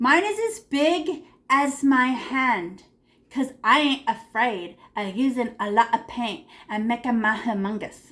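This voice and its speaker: A woman's animated voice moves through very wide pitch swings. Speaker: art teacher. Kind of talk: painting tutorial for kids.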